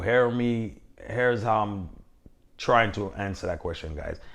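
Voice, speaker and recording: Audible room echo surrounds a man with a Caribbean accent who talks at a fairly slow pace with ordinary pitch variation. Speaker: box truck business owner, vlogger. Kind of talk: casual Q&A vlog talk.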